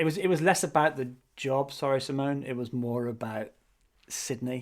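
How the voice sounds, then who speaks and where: A man speaks with a British accent. His pitch is medium, with ordinary variation. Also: moderate pace. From England. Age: 40s. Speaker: podcast co-host, marketer. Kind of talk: casual chat.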